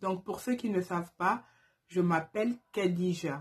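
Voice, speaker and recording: At a very slow pace, a woman talks in a somewhat breathy voice. Her fairly low pitch shows ordinary variation. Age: 20s. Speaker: YouTuber, turban stylist. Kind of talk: casual vlog Q&A. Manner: hesitant, many fillers.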